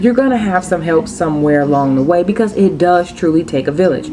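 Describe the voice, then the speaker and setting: Over noticeable background noise, a woman with a Floridian accent speaks in an animated tone at a moderate pace with ordinary pitch variation. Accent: Florida dialect. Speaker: vlogger. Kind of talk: casual vlog monologue. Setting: at home.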